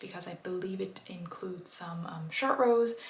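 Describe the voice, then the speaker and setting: Over noticeable background noise and audible room echo, a woman with a German accent speaks at a moderate pace. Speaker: knitting vlogger. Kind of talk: casual video chat. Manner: hesitant, many fillers.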